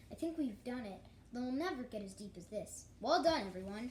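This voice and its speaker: Clear background noise runs under a woman's voice. She puts on a character voice with a high pitch. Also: moderate pace. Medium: read story.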